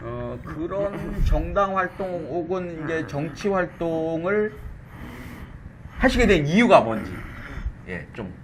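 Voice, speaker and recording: A man talks at a very slow pace with long, frequent pauses and big swings in loudness, amid noticeable background noise and audible room echo. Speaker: talk show host. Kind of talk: interview. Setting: studio with camera and pin mic.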